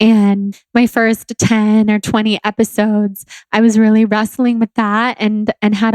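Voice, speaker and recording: In a Southern California accent, a woman speaks at a fairly slow pace with a calm tone, fairly high pitch, very even loudness and hardly any pauses, in a dry, close sound with no echo. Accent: Valley girl, Californian. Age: 20s. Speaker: podcast host and blogger. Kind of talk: solo podcast monologue.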